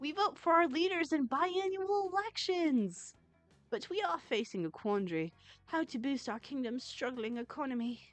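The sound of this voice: Faint music plays behind a squeaky, put-on character voice. It runs at a moderate pace with very wide pitch swings. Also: female-sounding voice, high pitch for a woman.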